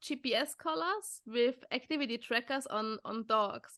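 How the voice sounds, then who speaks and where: Her voice high-pitched with a bright, sharp tone, a woman is speaking. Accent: German. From Austria. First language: German. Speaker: podcast host, dog behaviour trainer. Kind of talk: casual interview chat. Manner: halting, many repetitions.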